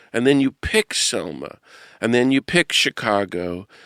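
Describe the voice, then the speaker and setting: Over a silent background in a very clean recording, a man uses an ordinary speaking voice at a medium pitch, with lively intonation, a fairly slow pace and a dry, close sound with no echo. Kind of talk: podcast interview questions.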